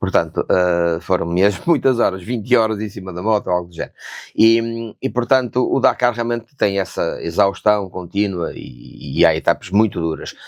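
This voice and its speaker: A man talks at a moderate pace with hardly any pauses, in an ordinary speaking voice. His pitch is fairly low, with ordinary variation. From northern Portugal, Famalicão. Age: 60s. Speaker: real estate consultant and former motorcycle racer. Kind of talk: podcast interview.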